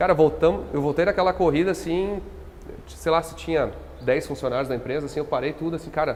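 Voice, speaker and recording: A man with a fairly high pitch races along very fast while noticeable noise carries on in the background. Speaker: company founder. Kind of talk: podcast interview. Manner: hesitant, many fillers.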